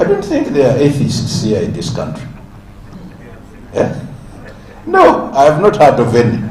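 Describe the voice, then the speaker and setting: Noticeable background noise and audible room echo. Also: man. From Uganda (West Nile, Lugbara speaker). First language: Lugbara. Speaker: symposium speaker. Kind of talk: public speech. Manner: halting, with many fillers.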